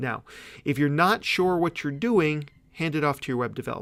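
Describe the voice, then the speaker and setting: A man speaks at a fairly high pitch. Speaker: webinar presenter, digital marketer. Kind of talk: webinar tutorial. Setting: live webinar with slides. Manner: fast; casual, conversational.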